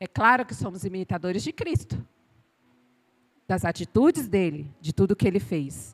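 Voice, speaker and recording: A woman at a fairly slow pace, animated in tone with very wide pitch swings and vocal fry, in a dry, close sound with no echo. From Bahia, Brazil. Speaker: pastor. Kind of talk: sermon. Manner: animated, sometimes shouting.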